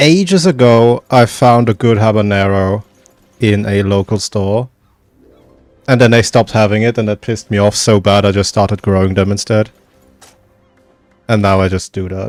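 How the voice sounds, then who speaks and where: A man with a slight British accent and fairly low pitch speaks at a moderate pace with long, frequent pauses, in a dry, close sound with no echo and music in the background. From Germany. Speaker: video game streamer. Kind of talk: casual chat. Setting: livestream.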